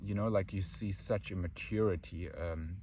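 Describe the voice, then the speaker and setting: Vocal fry runs through a man's very deep, low voice, which has a dark, mellow tone. He speaks at a fairly slow pace with ordinary pitch variation. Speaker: spiritual teacher. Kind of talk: spiritual talk.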